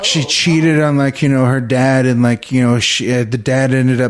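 A man with an American accent speaks in a plain, everyday voice at a medium pitch. His pace is moderate and his intonation fairly even. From Texas, Victoria. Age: 30s. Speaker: comedian. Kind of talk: casual chat.

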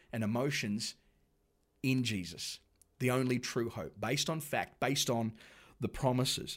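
Spoken with an Australian accent, the clip is a very clean recording with a silent background. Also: man. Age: 40s. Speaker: pastor. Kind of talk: sermon. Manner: conversational.

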